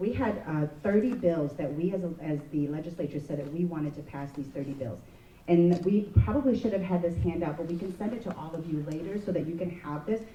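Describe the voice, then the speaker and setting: Noticeable background noise accompanies fairly quick speech. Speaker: state legislator. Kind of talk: panel speech. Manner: fast.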